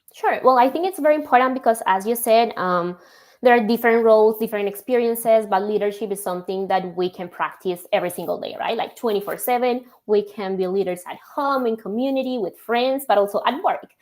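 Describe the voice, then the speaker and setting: Speaking with a Spanish accent, a woman has a fairly high voice and lively intonation. She talks at a fairly quick pace. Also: very clean recording, silent background. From Colombia. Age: young. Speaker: logistics software executive. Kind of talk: podcast interview.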